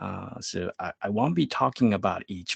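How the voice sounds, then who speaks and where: Fairly low male voice, fairly slow pace, dry and close with no echo. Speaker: developer advocate giving a tech talk. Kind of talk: technical presentation. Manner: slow, deliberate pace.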